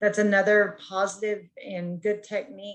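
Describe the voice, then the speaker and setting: A woman with a plain, everyday voice. She talks at a moderate pace with fairly even intonation. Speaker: counseling student. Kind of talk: peer review feedback. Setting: video call.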